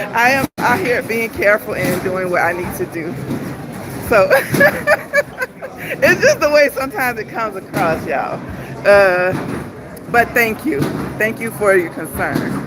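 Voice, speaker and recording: A woman talks at a moderate pace with a fairly high pitch and very wide pitch swings, leaving long, frequent pauses. Crowd noise runs in the background. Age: 50s. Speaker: travel vlogger. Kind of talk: casual livestream chat. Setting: on a cruise ship.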